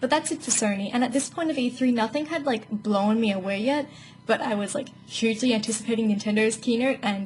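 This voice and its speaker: A woman's fairly high voice with an Australian accent, at a fairly quick pace. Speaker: gaming YouTuber. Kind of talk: casual video commentary. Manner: fast.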